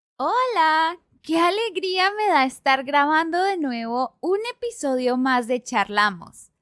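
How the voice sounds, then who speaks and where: A woman speaks at a very slow pace with hardly any pauses, her pitch extremely high and swinging very widely. Her loudness stays very even, and the recording is very clean with a silent background. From Colombia. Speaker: podcast host. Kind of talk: casual podcast talk.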